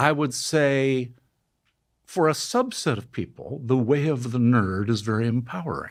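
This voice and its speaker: A man with an unremarkable speaking voice talks at a fairly slow pace, his medium pitch moving with ordinary variation. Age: 60s. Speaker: neuroscientist. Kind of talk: interview.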